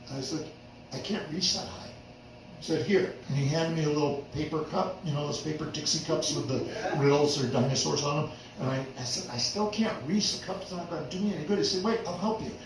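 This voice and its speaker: A man with a fairly high voice, a fairly quick pace and ordinary pitch variation, plus audible room echo and noticeable background noise. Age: 60s. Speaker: storyteller. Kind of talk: storytelling performance. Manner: animated.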